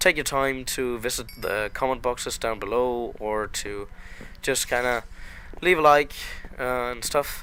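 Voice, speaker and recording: This man has a non-native accent and a bright, sharp tone. He speaks at a fairly slow pace in a medium pitch. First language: not English. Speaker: gaming YouTuber. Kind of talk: let's play commentary. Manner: hesitant, many filler words; slow paced.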